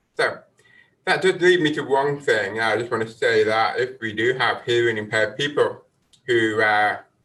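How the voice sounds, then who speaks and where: Bright and sharp in tone, a man with a British accent talks at a moderate pace and medium pitch, with ordinary pitch variation. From UK. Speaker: marine scientist, professor. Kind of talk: lecture. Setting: webinar.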